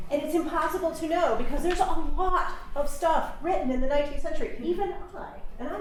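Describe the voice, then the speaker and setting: A high-pitched woman's voice with very wide pitch swings and audible room echo. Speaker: university teaching center director and English lecturer. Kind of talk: lightning talk presentation. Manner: fast.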